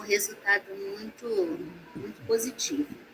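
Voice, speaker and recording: Over noticeable background noise, a woman speaks fairly slowly at a fairly high pitch with lively intonation. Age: 60s. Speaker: massage therapist. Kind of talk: online talk. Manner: halting.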